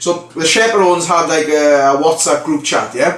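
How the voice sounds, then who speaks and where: Over noticeable background noise, a man with a Welsh accent speaks at a moderate pace and a high pitch. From Wales, the Valleys. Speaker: vlogger, reality TV contestant. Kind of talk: casual vlog storytelling.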